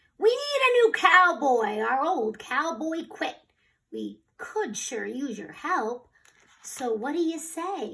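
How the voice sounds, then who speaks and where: Putting on a character voice, a woman growls at a fairly slow pace, her high pitch swinging very widely and her loudness rising and falling sharply. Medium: read story. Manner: rough, loud.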